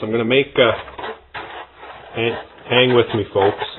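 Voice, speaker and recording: The speech comes mumbled at a fairly quick pace. Noticeable background noise is present. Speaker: RC hobbyist video maker. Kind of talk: workshop tutorial. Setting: workbench. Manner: mumbling, thinking aloud.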